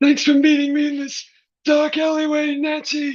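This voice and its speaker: A put-on character voice, high-pitched and monotone with flat intonation, at a moderate pace. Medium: stage play. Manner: polite, hesitant.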